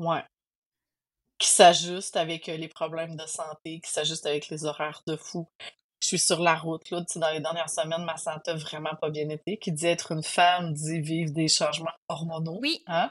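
In a Quebec accent, a woman speaks with a fairly low pitch at a moderate pace. Her intonation is monotone and flat. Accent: Québécois French. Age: 40s. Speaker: trail runner. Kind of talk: interview testimony.

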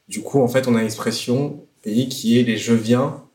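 Speaking fairly slowly in a flat monotone, a man with a medium-pitched voice comes through with audible room echo. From France. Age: 30s. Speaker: slam poet. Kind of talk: casual chat.

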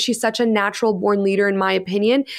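Animated in tone, a woman with a Canadian accent talks at a fairly quick pace. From Canada. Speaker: soccer podcast co-host. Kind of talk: casual sports discussion.

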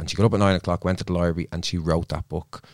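A man's very deep, low voice with a Dublin accent, dry and close with no echo, on a very clean recording with a silent background. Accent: Dublin Irish. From Dublin, Ireland. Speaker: psychotherapist. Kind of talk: casual chat. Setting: studio.

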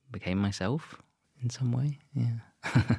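Speaking very slowly, a man with a southern English accent uses ordinary pitch variation. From Southeast England (Kent). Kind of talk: casual interview.

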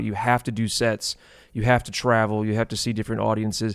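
On a very clean recording with a silent background, a man with an unremarkable speaking voice talks at a medium pitch and a fairly quick pace. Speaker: podcast producer. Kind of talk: casual chat.

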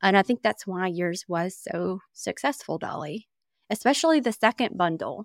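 A woman's medium-pitched, normal speaking voice at a moderate pace, lively in intonation, with a dry, close sound and no echo. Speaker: email marketing expert. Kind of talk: casual podcast conversation.

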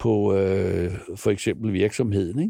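A dark, mellow tone at a very slow pace, with fairly even intonation. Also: man. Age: 60s. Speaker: film producer. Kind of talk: interview. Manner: hesitant, many fillers and repetitions.

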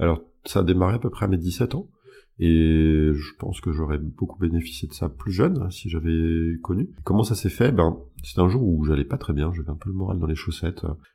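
This man has a very deep, low pitch and a dark, mellow tone that is somewhat breathy. He talks at a moderate pace with ordinary pitch variation. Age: 30s. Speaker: hypnosis practitioner. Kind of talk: interview. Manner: hesitant with fillers.

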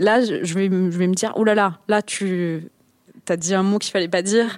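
A woman talks with ordinary pitch variation. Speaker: podcast creator. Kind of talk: panel discussion. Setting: stage with audience.

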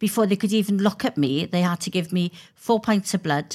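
A woman with a Welsh accent speaks at a moderate pace and medium pitch. Her pitch varies in an ordinary way on a very clean recording with a silent background. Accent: Welsh (Swansea). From Wales. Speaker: politician. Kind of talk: interview.

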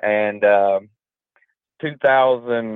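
This man has a strong Southern US accent. His intonation stays fairly even. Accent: deep Southern drawl. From Georgia, US South. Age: 30s. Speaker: construction business owner. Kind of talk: podcast interview.

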